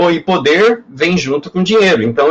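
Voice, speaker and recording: Male voice, high-pitched for a man, with ordinary variation in pitch. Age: 60s. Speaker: professor. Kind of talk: lecture. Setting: webinar.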